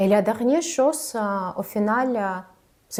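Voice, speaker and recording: With a non-native accent, a woman speaks at a fairly high pitch with ordinary pitch variation and a dark, mellow tone, captured on a very clean recording with a silent background. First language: not French (speaking French). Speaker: communication coach, former TV journalist. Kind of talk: vlog tutorial. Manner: hesitant, frequent filler sounds; slower than native speech.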